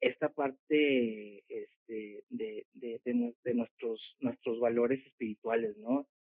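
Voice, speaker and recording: A man speaks with ordinary pitch variation. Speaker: homeschooling parent. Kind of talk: casual interview. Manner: halting, many repetitions.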